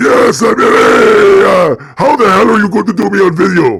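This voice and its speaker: A man uses a put-on character voice, talking at a moderate pace with very even loudness. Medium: game stream. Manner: playful, joking.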